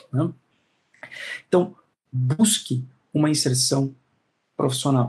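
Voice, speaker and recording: A man speaks at a very slow pace with a fairly high pitch and ordinary pitch variation. Long, frequent pauses come up often, with music in the background. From Brazil, São Paulo. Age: 30s. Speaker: law professor. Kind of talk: interview, advice talk.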